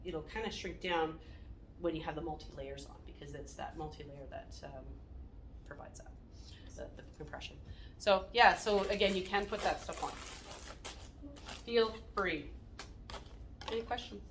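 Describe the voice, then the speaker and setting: A woman's loudness swings widely, with long, frequent pauses and audible room echo around her voice. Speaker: wound care nurse. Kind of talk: staff training talk. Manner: fast.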